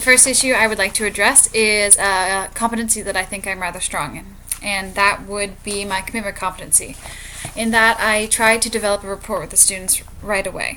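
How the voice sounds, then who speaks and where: A woman's fairly high-pitched voice is heard against noticeable background noise. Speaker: student teacher. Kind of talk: reflective monologue. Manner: fast.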